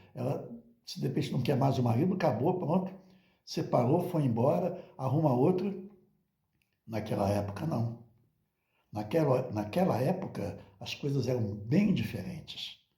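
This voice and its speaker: A somewhat breathy, dark, mellow voice moves at a fairly slow pace with lively intonation and long, frequent pauses. Audible room echo is present. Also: man, medium pitch for a man. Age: 70s. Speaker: religious teacher. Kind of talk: monologue talk.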